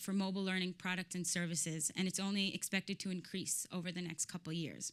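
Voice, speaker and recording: A woman's medium-pitched voice with a bright, sharp tone. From Israel (Tel Aviv). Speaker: startup founder. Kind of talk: pitch presentation.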